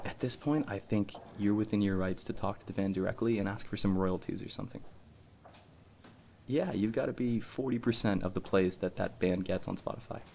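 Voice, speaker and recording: Here is a man with a normal speaking voice. He talks fairly quickly at a fairly low pitch with fairly even intonation. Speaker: chemistry student. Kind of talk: ASMR role play. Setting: library ambience. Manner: casual, joking. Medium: role play.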